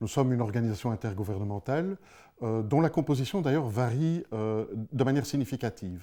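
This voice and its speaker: A man's medium-pitched voice in a Belgian accent, fairly quick with lively intonation and a dark, mellow tone, on a very clean recording with a silent background. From Belgium. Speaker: space security director, ex-police officer. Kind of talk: interview. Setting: studio. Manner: hesitant, many fillers.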